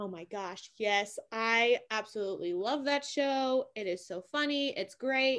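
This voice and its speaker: In a very clean recording with a silent background, a woman with a plain, everyday voice speaks at a fairly high pitch and a fairly slow pace. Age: 20s. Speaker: podcast guest. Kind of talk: casual chat.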